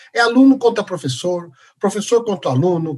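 A man is speaking. His intonation is lively. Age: 50s. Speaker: professor of physical education and health science. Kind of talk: interview.

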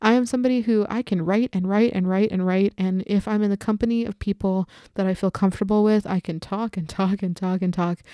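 Dark and mellow in tone, a woman's medium-pitched voice keeps fairly even intonation. The recording is very clean, with a silent background. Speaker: podcast host. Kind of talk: solo podcast monologue. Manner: rambling, chatty.

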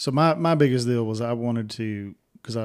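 The recording is very clean, with a silent background. A man with an unremarkable speaking voice talks at a fairly quick pace in a medium pitch with ordinary pitch variation. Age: 40s. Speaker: podcast host. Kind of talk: casual chat.

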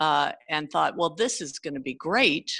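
With a Californian accent, a woman speaks in a bright, sharp tone at a very deep, low pitch on a very clean recording with a silent background. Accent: Californian American English. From California (San Jose area). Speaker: teacher. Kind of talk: casual interview conversation.

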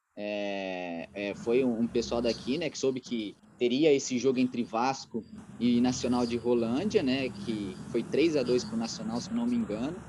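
Speaking at a moderate pace, a man with a medium-pitched voice uses lively intonation. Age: 30s. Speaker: radio sports journalist. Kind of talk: casual interview about football history. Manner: halting, many fillers.

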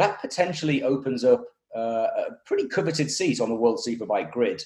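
A man speaks with a British accent. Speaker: motorsport podcast host. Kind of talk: casual interview. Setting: video call.

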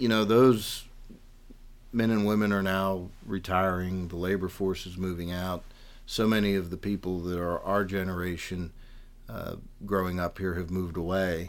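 A man's very deep, low voice with a western Pennsylvania accent, monotone and flat in intonation. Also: moderate pace. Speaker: political candidate. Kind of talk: interview.

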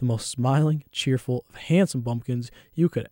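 On a very clean recording with a silent background and a dry, close sound with no echo, a man with a medium pitch and a dark, mellow tone speaks at a moderate pace with ordinary pitch variation. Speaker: college radio host. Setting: radio studio on a college campus. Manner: casual and rambling, with filler words and laughs; in the narration, vivid and theatrical, with dramatic pacing and raised energy.

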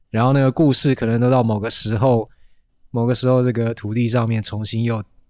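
The speaker uses fairly even intonation on a very clean recording with a silent background. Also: man. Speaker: teacher with a biology degree. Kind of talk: casual chat.

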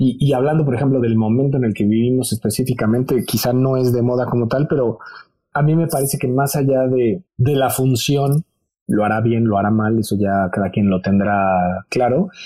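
Somewhat breathy, a man with a Mexican accent speaks at a moderate pace with a dark, mellow tone and very even loudness. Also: medium pitch for a man, ordinary pitch variation. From Mexico. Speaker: TV presenter and fashion educator. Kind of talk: interview.

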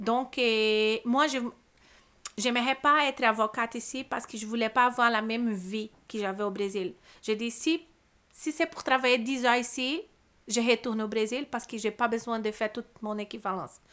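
The tone is bright and sharp, with ordinary pitch variation and a Brazilian accent. Long, frequent pauses break up the speech on a very clean recording with a silent background. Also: woman, fairly high pitch for a woman, moderate pace. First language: Portuguese (speaking French). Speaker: immigrant lawyer and labour conciliator. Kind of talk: podcast interview. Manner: halting, many repetitions and fillers.

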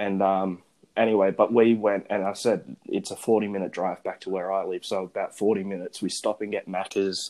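With an Australian accent, a man speaks at a moderate pace in a fairly low, monotone, flat voice. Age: young. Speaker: podcast host. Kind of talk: casual chat. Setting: phone recording.

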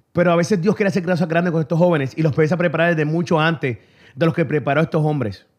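The recording is very clean with a silent background, and the man in it has a fairly high pitch. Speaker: radio host. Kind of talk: casual radio talk show, bilingual Spanish-English. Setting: radio studio. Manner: animated, upbeat.

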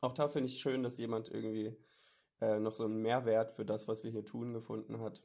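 On a very clean recording with total background silence, a man talks in a dark, mellow tone. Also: medium pitch for a man, fairly quick pace. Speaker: podcast co-host. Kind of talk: casual chat. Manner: animated.

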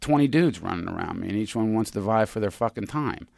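A plain, everyday voice with an American accent, fairly quick in pace, with ordinary pitch variation. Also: man. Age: 50s. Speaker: podcast co-host. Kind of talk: casual chat. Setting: studio.

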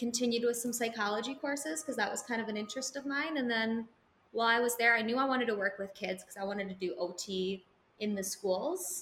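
A woman with an American accent speaks in a fairly high pitch, her tone bright and sharp. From Wisconsin (small town). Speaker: special education teacher. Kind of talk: casual chat. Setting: live podcast with audience.

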